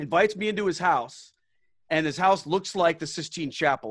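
A man talking at a fairly quick pace with ordinary pitch variation, on a very clean recording over a silent background. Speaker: former Protestant pastor. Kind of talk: casual interview chat. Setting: video recording. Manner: animated, storytelling.

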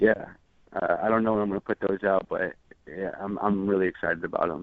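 With flat, monotone intonation, the man talks in a fairly low pitch. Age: 20s. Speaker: music producer. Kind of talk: interview. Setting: phone call. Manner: halting.

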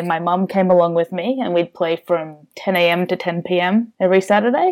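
A woman's fairly low voice with an Australian accent and fairly even intonation. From Australia, Melbourne. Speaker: board game reviewer and social media manager. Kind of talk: casual chat.

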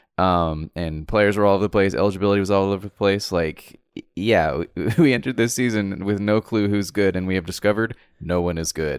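In a very clean recording with a silent background, a man with an ordinary speaking voice and fairly low pitch talks at a fairly quick pace with ordinary pitch variation. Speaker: podcast co-host. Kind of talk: casual banter, sports talk.

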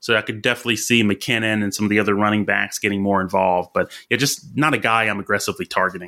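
A man with a Southern US accent talks at a very fast pace with hardly any pauses, his fairly low voice bright and sharp on a very clean recording with a silent background. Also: fairly even intonation. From Alabama. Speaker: fantasy football analyst. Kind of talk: casual chat. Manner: halting, many fillers.

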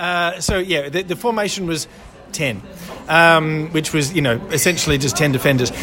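There is music in the background. A man speaks with an Australian accent. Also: fairly high pitch for a man, ordinary pitch variation, moderate pace. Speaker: football fan. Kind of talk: casual chat about a football match. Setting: pub. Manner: hesitant, filler-heavy.

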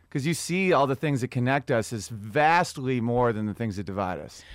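A plain, everyday voice from a man with an American accent, medium in pitch with lively intonation, at a moderate pace on a very clean recording with a silent background. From US Northeast. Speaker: comedian. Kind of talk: casual chat.

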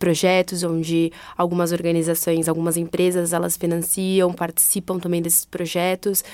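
Flat and monotone, a woman talks in a dark, mellow tone. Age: 20s. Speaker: non-profit HR manager. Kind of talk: interview.

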